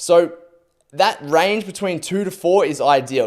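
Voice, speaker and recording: This man's tone is animated. His pitch moves in an ordinary way. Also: very clean recording, silent background. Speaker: podcast host, endurance athlete. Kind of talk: solo podcast monologue.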